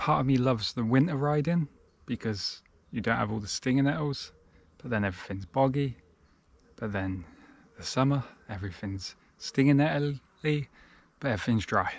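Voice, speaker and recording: A man at a fairly quick pace, with ordinary pitch variation and a dry sound with no echo. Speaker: bikepacking vlogger. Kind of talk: casual vlog chat. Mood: relaxed, content. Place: open country. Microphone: phone near.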